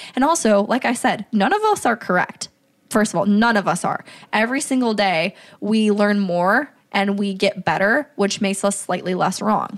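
An ordinary speaking voice at a moderate pace, with ordinary pitch variation and very even loudness. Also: woman, medium pitch for a woman. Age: 20s. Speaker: business manager, podcast guest. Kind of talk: casual chat.

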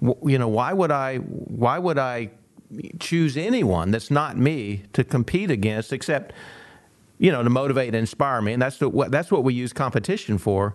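Using lively intonation, a man with an unremarkable speaking voice talks at a moderate pace and medium pitch. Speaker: sports psychologist. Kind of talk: casual chat. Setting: studio.

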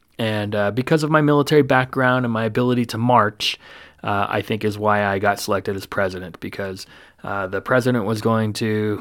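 A man with a normal speaking voice, fairly low pitch, fairly even intonation and a fairly quick pace, in a very clean recording with a silent background. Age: 40s. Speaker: police officer and podcast host. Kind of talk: casual monologue.

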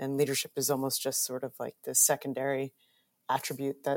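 Speaking fairly quickly with an American accent, a woman has a very deep, low pitch and monotone, flat intonation, her sound dry and close with no echo. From New York suburbs. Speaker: university alumna, biomedical engineer. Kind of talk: casual panel interview.

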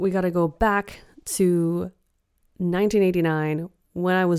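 Fairly low in pitch, a woman with a Western Canadian accent speaks at a fairly slow pace with fairly even intonation in a very clean recording with a silent background. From Canada, British Columbia. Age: 30s. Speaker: spiritual guide. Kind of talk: solo podcast monologue. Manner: warm, gentle.

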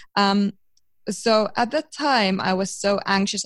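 A woman speaks with a Finnish accent. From eastern Finland, rural village. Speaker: psychology student and biohacking professional. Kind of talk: interview.

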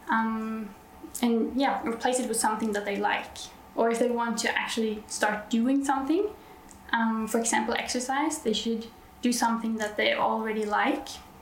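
In a Norwegian accent, a woman speaks at a moderate pace in a fairly high voice with fairly even intonation. Noticeable background noise and audible room echo fill the recording. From Norway. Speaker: nurse. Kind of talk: interview. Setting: on site at a conference.

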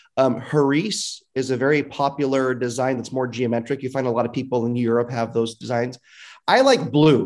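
Heard on a very clean recording with a silent background, a normal speaking voice moves at a moderate pace with fairly even intonation. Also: man, medium pitch for a man. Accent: American. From Fresno, California. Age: 30s. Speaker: city council member. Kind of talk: podcast interview.

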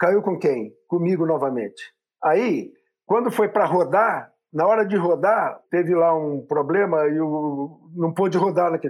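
The man's voice sits at a high pitch, with ordinary pitch variation and a fairly slow pace. His loudness is very even, and the background is quiet. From interior of São Paulo state, Brazil. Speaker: physician and entrepreneur. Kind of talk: casual interview.

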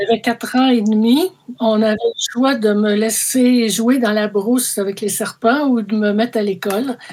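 A woman in a Quebec accent, fairly high in pitch, fairly even in intonation, at a fairly slow pace. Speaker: mathematics professor. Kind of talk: interview. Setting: remote call.

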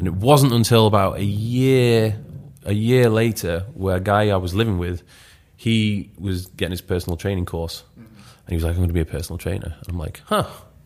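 On a very clean recording with a silent background, a man with a Yorkshire accent speaks at a moderate pace in a fairly low pitch with ordinary pitch variation. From northern England, Leeds. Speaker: fitness YouTuber and coach. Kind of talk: podcast interview.

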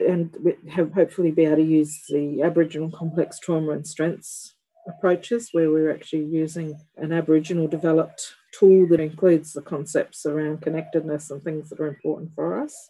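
Speaking at a fairly quick pace in a flat monotone, a woman with an Australian accent has a very deep, low pitch and a dark, mellow tone. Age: 50s. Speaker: professor and midwife. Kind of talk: interview.

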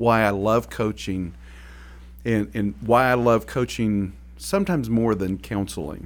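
Against a silent background in a very clean recording, a man with an American accent speaks at a fairly slow pace, his fairly low pitch showing ordinary variation. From Oklahoma. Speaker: podcast host, business coach. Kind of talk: casual conversational podcast chat.

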